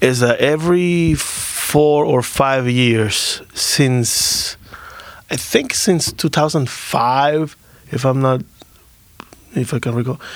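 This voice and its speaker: Against noticeable background noise, a man with a fairly high pitch speaks very slowly, leaving long, frequent pauses. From Dominican Republic. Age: 30s. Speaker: musician. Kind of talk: casual interview.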